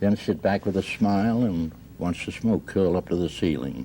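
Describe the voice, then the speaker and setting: Lively intonation from a man with a very deep, low pitch, against noticeable background noise. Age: 70s. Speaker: husband in a mediation case. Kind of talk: radio mediation hearing testimony.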